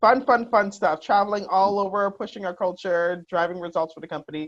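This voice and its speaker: With a plain, everyday voice, a woman talks at a fairly quick pace and medium pitch, her pitch varying in an ordinary way and her loudness swinging widely. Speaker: HR executive, guest host. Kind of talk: casual podcast conversation.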